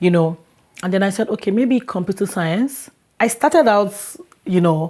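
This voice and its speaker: A woman with a Nigerian accent speaks at a moderate pace and medium pitch, her dark, mellow tone carried by lively intonation in a very clean recording with a silent background. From Lagos, Nigeria. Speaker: international student. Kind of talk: interview. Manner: halting.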